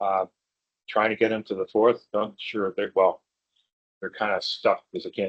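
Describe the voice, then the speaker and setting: A man talks at a moderate pace. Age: 60s. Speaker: conference speaker, IT business owner. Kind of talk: conference talk with audience Q&A. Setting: stage with audience. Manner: casual, with many fillers.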